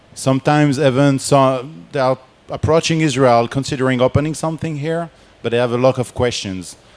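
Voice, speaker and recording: A man's medium-pitched voice in a French accent, with ordinary pitch variation and a moderate pace. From France. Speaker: game industry researcher and board game creator. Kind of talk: conference presentation.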